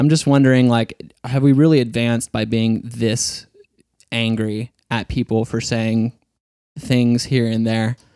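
In a dry, close sound with no echo, a man with a dark, mellow tone and medium pitch speaks at a fairly slow pace with fairly even intonation. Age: 30s. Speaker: podcast host. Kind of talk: casual interview chat. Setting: studio.

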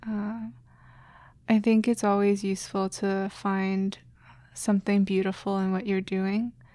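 Over a silent background in a very clean recording, a woman with an American accent speaks fairly slowly in a dark, mellow tone at medium pitch, her intonation monotone and flat, leaving long, frequent pauses. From China, raised in the US from a young age. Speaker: neuroscience grad student and artist. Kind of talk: casual interview.

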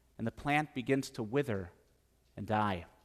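With an Upper Midwest accent, a man speaks in a bright, sharp tone with ordinary pitch variation, in a very clean recording with a silent background. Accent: Upper Midwest American. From central Wisconsin. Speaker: pastor. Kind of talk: sermon.

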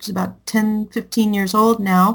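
This woman's voice is fairly high. It sounds somewhat breathy. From Southern California, Anaheim. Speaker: music professor and former recording engineer. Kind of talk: interview.

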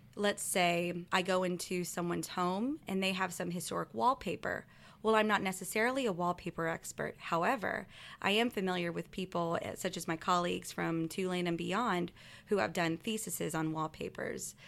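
A woman speaks in a plain, everyday voice, fairly low in pitch, at a moderate pace with ordinary pitch variation. The recording is very clean, with a silent background. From US Gulf Coast. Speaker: historic preservation consultant. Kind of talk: interview.

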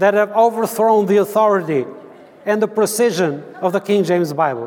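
Speaking at a moderate pace, a man has a high pitch and an Albanian accent. His pitch varies in an ordinary way, and there is noticeable background noise. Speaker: Bible translator. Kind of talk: church talk. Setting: church conference with audience. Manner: halting.

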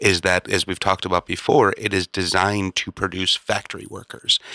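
A man speaks in a very deep, low voice with an animated, bright and sharp tone. The sound is dry and close, with no echo. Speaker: podcast host. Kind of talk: casual banter podcast. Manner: joking, animated.

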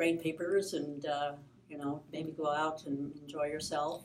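In an American accent, a woman speaks with a very deep, low pitch and monotone, flat intonation. Room echo is audible. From Michigan, US Midwest. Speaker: pastor. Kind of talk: interview, personal story. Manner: halting.

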